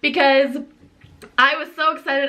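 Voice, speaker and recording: A woman's high, animated, raised and projected voice against noticeable background noise. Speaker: vlogger, college student. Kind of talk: casual vlog talk.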